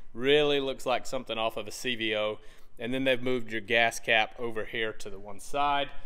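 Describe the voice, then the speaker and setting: Fairly even intonation from a man, quiet background. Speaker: motorcycle reviewer. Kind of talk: product review walkaround. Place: shop. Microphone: phone near.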